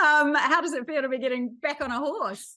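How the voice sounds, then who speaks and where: A woman with a New Zealand accent. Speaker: entertainment reporter. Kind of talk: piece to camera; celebrity interviews.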